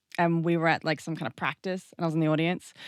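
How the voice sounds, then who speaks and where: In a very clean recording with a silent background, a woman speaks with an Australian accent at a fairly low pitch. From Australia, New South Wales coast. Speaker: dancer and burlesque artist. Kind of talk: casual chat.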